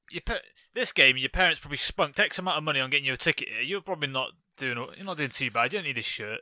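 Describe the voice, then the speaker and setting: A man's very fast, fairly high-pitched voice, bright and sharp in tone with lively intonation, dry and close with no echo, on a very clean recording against a silent background. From Britain. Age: 20s. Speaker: podcast co-host. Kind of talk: casual chat.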